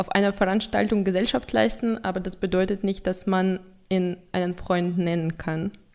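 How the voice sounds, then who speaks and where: Fairly even intonation in a Russian accent. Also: woman. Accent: noticeable Russian accent in German. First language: Russian (speaking German). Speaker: product owner at an IT consultancy. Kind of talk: casual interview. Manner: halting, with fillers.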